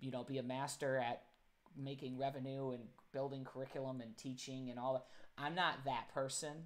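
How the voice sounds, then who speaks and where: In a monotone, flat intonation, a man speaks at a moderate pace and a medium pitch. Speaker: live stream host. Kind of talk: casual live stream interview. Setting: live stream. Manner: loud.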